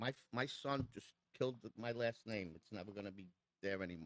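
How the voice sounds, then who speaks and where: Speaking at a fairly quick pace in a New York accent, a man uses lively intonation, and the sound is dry and close with no echo. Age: 60s. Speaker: custom motorcycle builder. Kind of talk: casual chat. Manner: animated.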